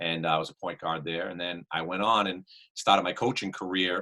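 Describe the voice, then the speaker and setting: In a Boston accent, a man talks with a very deep, low pitch, fairly even intonation and a moderate pace. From Worcester, Massachusetts. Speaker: basketball coach. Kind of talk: podcast interview.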